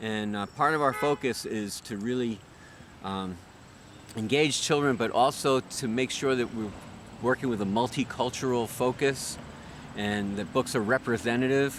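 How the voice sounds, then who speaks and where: In an ordinary speaking voice, a man speaks at a medium pitch and moderate pace with ordinary pitch variation. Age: 60s. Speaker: children's musician and music educator. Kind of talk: interview.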